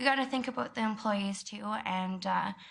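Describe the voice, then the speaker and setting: A woman with a western Canadian accent talks fairly quickly with fairly even intonation, and room echo is audible. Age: 20s. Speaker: member of the public speaking to council. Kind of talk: public comment at council meeting. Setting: council chamber. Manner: loud.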